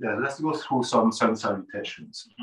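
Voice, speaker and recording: Pitched at a medium level, a man speaks in an ordinary speaking voice. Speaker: yoga teacher. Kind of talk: guided meditation. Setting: video session, teacher on camera. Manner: slow, calm, soothing; soft-spoken, gently instructive.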